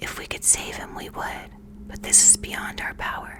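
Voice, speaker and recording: Someone is whispering. Noticeable background noise is heard throughout. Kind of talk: bedtime story reading. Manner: soft, relaxing, close-mic whisper.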